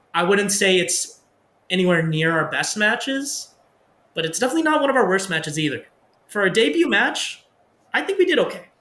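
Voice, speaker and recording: Using a raised, projected voice, a man speaks at a fairly quick pace with very wide pitch swings and long, frequent pauses. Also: high pitch for a man. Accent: Canadian. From Pakistan (Khyber Pakhtunkhwa), raised partly in Canada. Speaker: professional wrestler. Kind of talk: interview. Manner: casual, conversational.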